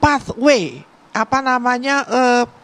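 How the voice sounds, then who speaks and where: A woman with a high pitch speaks at a fairly slow pace. The sound is dry and close, without echo. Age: 60s. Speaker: family member of the deceased. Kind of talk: TV interview. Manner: halting.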